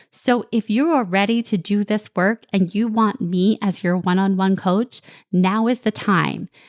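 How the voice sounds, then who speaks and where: A fairly slow delivery in a slight New Jersey accent, dry and close with no echo. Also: woman. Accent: New Jersey twang, slight. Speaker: podcast host, parenting coach. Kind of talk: solo podcast monologue.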